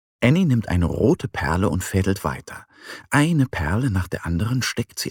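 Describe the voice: The text is read aloud plainly, and the intonation is lively.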